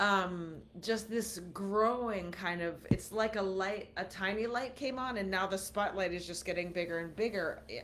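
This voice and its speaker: A woman's medium-pitched voice at a moderate pace, with ordinary pitch variation, hardly any pauses and audible room echo. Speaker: podcast co-host. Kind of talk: casual chat. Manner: halting.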